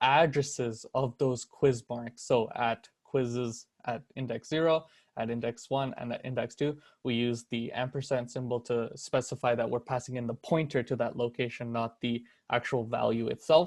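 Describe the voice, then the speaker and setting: Recorded very cleanly against a silent background, a man speaks in a plain, everyday voice at a moderate pace and medium pitch. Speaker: student tutor leading a course review. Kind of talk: review seminar tutorial.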